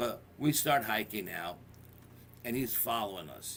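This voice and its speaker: This man's intonation is lively, at a medium pitch. He talks at a fairly slow pace. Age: 60s. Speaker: paranormal investigator. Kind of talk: storytelling in interview. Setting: radio show. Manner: animated.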